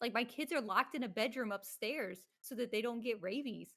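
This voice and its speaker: With an American accent, a woman speaks at a high pitch and a fairly quick pace with lively intonation. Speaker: streamer and content creator. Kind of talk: casual chat. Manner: shaky voice.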